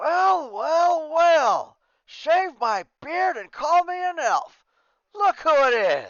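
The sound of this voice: Gruff, put-on character voice from a man, extremely high-pitched and very slow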